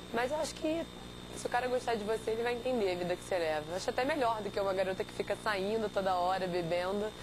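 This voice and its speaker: A woman speaks at a very fast pace with medium pitch and lively intonation. Noticeable background noise runs underneath. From Rio de Janeiro, Brazil. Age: 20s. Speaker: competitive swimmer. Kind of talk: interview.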